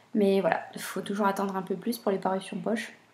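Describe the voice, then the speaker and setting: Quiet and set against noticeable background noise, a woman is talking. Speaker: booktuber. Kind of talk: casual vlog talk. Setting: at home, baby napping nearby. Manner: hesitant.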